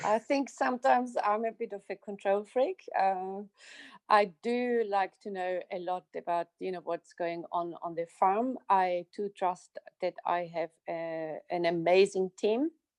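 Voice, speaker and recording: A woman with an Austrian accent at a medium pitch, ordinary pitch variation and a fairly slow pace, in a dry, close sound with no echo and a quiet background. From Austria, southern Styria. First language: German. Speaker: winery operations manager. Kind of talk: interview.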